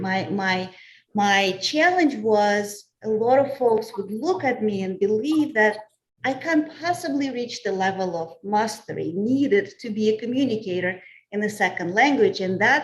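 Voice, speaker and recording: Fairly slow and somewhat breathy, a woman speaks at a fairly high pitch. Her intonation is lively. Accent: Russian. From Russia. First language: Russian. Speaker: communications professional. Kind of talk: panel discussion.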